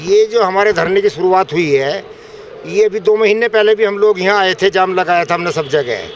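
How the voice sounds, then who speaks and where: A man's high-pitched voice at a moderate pace, fairly even in intonation, over noticeable background noise. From India, western Uttar Pradesh (near Modinagar). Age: 70s. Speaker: farmer. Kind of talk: street interview.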